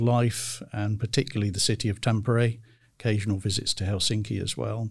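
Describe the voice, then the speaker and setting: A man with a British accent speaks at a medium pitch, somewhat breathy. The recording is very clean, with a silent background. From United Kingdom. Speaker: career advisor. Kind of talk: interview.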